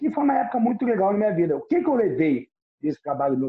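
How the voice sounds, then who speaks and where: A man talking very fast, with very wide swings in pitch. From Rio de Janeiro, Brazil. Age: 50s. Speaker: nightlife and events executive. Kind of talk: podcast interview.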